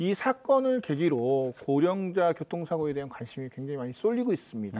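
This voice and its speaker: Very wide pitch swings and a dark, mellow tone at a moderate pace, with hardly any pauses. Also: man. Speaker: journalist. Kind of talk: news commentary. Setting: studio. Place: studio. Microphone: lapel.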